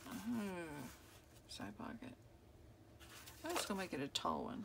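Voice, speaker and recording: A woman talks fairly slowly while noticeable background noise runs behind her. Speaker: crafter, journal maker. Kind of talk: casual crafting tutorial. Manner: mumbling, thinking out loud.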